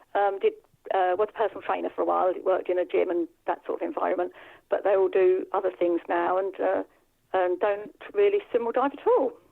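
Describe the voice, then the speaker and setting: A woman with a southern English accent speaks at a fairly quick pace. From England, Bedfordshire. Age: 60s. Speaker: masters diver. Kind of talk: interview. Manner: hesitant.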